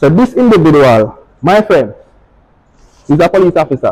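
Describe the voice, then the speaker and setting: In a Jamaican accent, a man speaks with lively intonation and a fairly high pitch. The sound is dry and close, with no echo. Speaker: fashion designer and barber. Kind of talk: speech to students.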